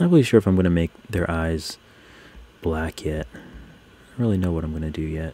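A man speaks with a very deep, low pitch. His tone is dark, mellow and relaxed. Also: ordinary pitch variation, moderate pace. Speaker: digital artist live streamer. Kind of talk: live stream chat while drawing. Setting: live stream, computer nearby. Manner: relaxed, casual; gets overexcited, speeds up.

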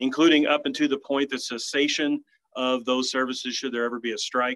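The background stays quiet as a man talks. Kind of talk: formal meeting statement. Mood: measured, persuasive. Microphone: video call.

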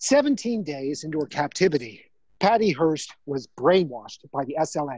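The pace is fairly slow. Intonation is lively. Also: man, fairly high pitch for a man. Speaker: theatre performer. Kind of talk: solo storytelling performance. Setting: outdoors on a bike with headset.

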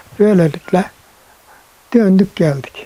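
Noticeable background noise behind a man's fairly slow pace. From Bucak, Burdur, Turkey. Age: 80s+. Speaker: Korean War veteran. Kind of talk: interview answer.

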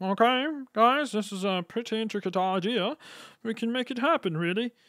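A put-on character voice at a fairly high pitch moves at a moderate pace on a very clean recording with a silent background. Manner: brisk, businesslike.

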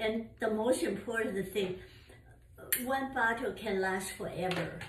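At a fairly slow speed and with ordinary pitch movement, the speech comes through noticeable background noise. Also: woman, fairly high pitch for a woman. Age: 80s+. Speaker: mother of the channel owner. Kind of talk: casual chat. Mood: warm, enthusiastic. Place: home room. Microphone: camera far.

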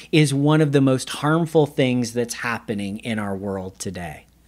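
Very wide pitch swings over a quiet background. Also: man. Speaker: pastor. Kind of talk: sermon. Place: studio.

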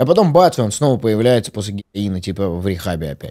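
A man with a dark, mellow tone speaks at a fairly quick pace. His intonation is lively against a quiet background. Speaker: podcast host. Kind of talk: casual chat. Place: studio. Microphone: studio mic.

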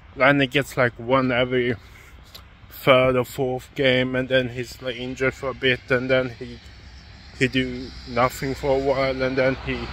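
A man speaks at a moderate pace in a flat, monotone delivery, the sound dry with no echo and a little background noise. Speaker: sports vlogger. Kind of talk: casual vlog chat. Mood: critical opinion rant. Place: street. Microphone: phone near.

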